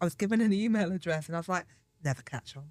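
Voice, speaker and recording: Animated in tone, a woman with an English accent speaks with ordinary pitch variation. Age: 40s. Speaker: podcast host. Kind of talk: casual chat.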